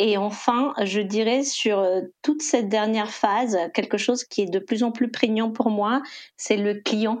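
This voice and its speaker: With a normal speaking voice, a woman talks in a fairly high pitch, keeping fairly even intonation and very even loudness. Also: fairly slow pace. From Costa Rica. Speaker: e-commerce executive. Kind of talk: interview.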